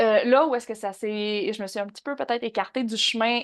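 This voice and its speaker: A woman with a Quebec accent, fairly high in pitch, at a moderate pace with ordinary pitch variation. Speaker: horse behaviourist and online trainer. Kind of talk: podcast interview.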